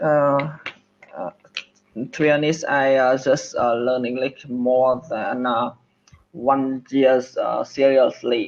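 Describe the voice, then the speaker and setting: In a Vietnamese accent, a man talks very slowly at a medium pitch, his intonation flat and monotone, with long pauses coming often. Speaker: English learner. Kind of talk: one-on-one language lesson. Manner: halting, many fillers.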